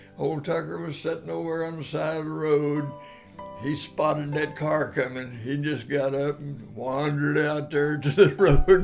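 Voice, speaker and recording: Over music in the background, a man with a fairly high voice talks at a fairly slow pace with fairly even intonation. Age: 80s+. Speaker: storyteller. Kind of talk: personal anecdote storytelling. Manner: casual, folksy.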